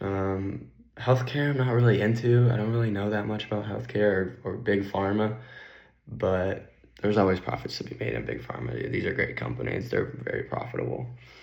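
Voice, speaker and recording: There is audible echo in the room. A man talks fairly quickly in a fairly low pitch. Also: lively intonation. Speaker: finance YouTuber. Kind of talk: casual vlog.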